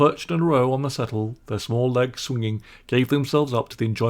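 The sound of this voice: An unforced reading voice carries the whole clip.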